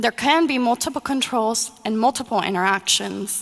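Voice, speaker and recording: Here a woman speaks with a Spanish accent. Her high voice moves at a moderate pace. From Mexico. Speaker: user experience designer. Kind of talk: conference presentation.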